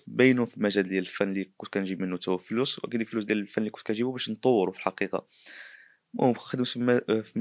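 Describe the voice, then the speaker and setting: Speaking very fast in a northern Moroccan accent, a man with a fairly low voice keeps his intonation fairly even while his loudness swings widely, the sound dry with no echo and the background quiet. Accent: Moroccan Darija, northern. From Morocco. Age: 20s. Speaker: painter and artist; interviewee. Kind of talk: interview testimony. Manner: halting. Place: home room. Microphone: handheld.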